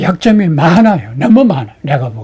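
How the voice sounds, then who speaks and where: This man's voice sits high in pitch, with a dark, mellow tone. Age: 80s+. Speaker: emeritus history professor. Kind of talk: interview.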